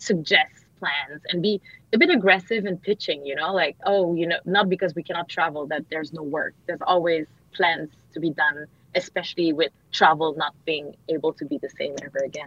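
Here a woman talks at a fairly quick pace. Her pitch sits fairly low. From Canada, Montreal. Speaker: marketing consultant. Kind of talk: radio interview. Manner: animated.

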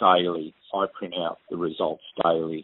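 Male speaker in an Australian accent, at a fairly slow pace. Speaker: postal manager. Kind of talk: recorded interview. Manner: halting. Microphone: crackly phone line.

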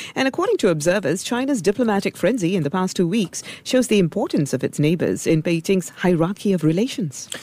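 A woman's medium-pitched voice, very fast with hardly any pauses, lively intonation and very even loudness over noticeable background noise. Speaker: radio co-host. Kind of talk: radio interview. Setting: studio.

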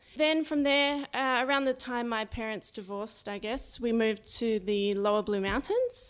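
A woman with a fairly high pitch talks at a moderate pace, hardly any pauses breaking her speech and her pitch varying in an ordinary way. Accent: Australian. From Australia, Sydney. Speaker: startup co-founder. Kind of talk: interview.

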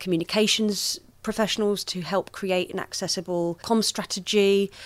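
A British-accented woman speaks at a moderate pace and medium pitch in a monotone, flat way, in a very clean recording with a silent background. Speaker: accessibility manager. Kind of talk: interview.

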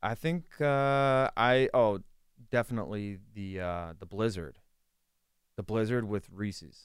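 A man with an American accent speaks in a normal speaking voice at a fairly slow pace, his fairly low pitch carrying lively intonation. The recording is very clean, with a silent background. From western Pennsylvania (Latrobe). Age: 30s. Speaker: sports journalist. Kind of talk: casual chat. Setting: studio.

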